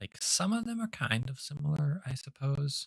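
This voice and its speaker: In a dry, close recording with no echo, a somewhat breathy man with an American accent speaks at a fairly slow pace, his pitch swinging very widely. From northern US. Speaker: gaming livestreamer. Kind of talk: live gameplay stream chat. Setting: livestream with chat. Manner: talkative.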